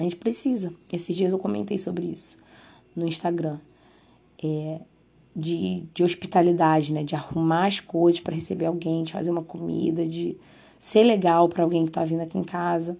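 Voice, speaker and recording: A woman talks at a fairly low pitch with a dark, mellow tone. Her intonation is fairly even, and she takes long, frequent pauses. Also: moderate pace. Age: 20s. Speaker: podcast host. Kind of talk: solo podcast monologue. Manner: casual, conversational.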